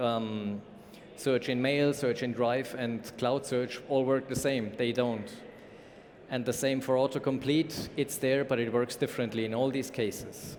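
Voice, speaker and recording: Audible room echo surrounds a man with a German accent. He speaks at a medium pitch and a fairly slow pace, in a monotone, flat intonation. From Germany. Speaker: conference speaker, company information management lead. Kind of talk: conference talk.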